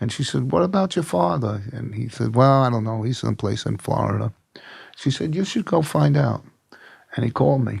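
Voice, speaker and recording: A man's medium-pitched voice with vocal fry, very wide pitch swings and a fairly quick pace. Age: 70s. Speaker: Vietnam veteran in addiction recovery. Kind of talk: interview, personal testimony.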